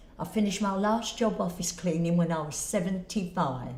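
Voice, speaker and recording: Audible room echo colors this woman's medium-pitched voice. She speaks with ordinary pitch variation. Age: 80s+. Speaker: retired office cleaner. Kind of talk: interview testimony.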